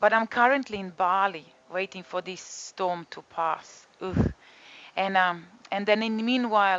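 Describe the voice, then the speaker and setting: A woman with a Croatian accent speaks at a fairly slow pace with fairly even intonation. Her loudness swings a lot. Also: medium pitch for a woman. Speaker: yoga and detox teacher. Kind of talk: casual talk to camera. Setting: home balcony studio.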